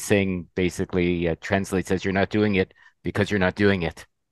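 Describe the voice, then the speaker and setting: A man's very deep, low voice at a fairly quick pace, with fairly even intonation and a dry, close sound with no echo against a quiet background. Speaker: podcast host. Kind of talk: casual chat.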